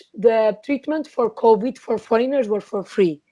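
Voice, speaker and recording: Dark, mellow tone with a Portuguese accent, ordinary pitch variation and a moderate pace. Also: woman. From Portugal. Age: 20s. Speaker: trade commissioner. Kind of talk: interview.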